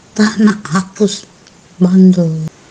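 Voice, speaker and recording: Fairly even female intonation against noticeable background noise. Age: 50s. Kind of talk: private voice messages to a romance partner.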